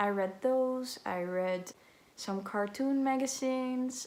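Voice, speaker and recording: Speaking with a slight Dutch accent, a woman keeps a very slow pace. Her intonation is fairly even. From Netherlands. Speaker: book vlogger. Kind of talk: casual vlog talk to camera. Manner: halting, many filler sounds.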